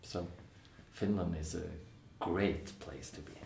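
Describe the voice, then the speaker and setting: Speaking at a moderate pace with a Norwegian accent, a man's very deep, low voice comes through over noticeable background noise. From Norway. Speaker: musical theatre actor and singer. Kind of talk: casual interview. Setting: theatre.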